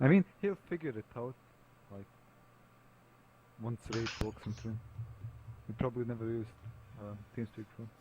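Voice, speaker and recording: A man with a dark, mellow tone and a somewhat breathy voice speaks at a moderate pace and medium pitch, with ordinary pitch variation, big swings in loudness, and long, frequent pauses. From Bosnia and Herzegovina. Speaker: tabletop game player. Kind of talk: casual chat. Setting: voice chat call.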